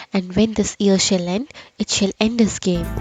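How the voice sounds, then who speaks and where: A woman speaks at a moderate pace. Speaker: poet and voiceover artist. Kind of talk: poetry reading.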